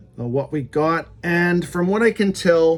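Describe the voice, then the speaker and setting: Over noticeable background noise, a man with a Canadian accent speaks at a fairly slow pace with ordinary pitch variation. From Canada. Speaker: YouTube music collector. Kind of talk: unboxing review. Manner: casual, hesitant with fillers.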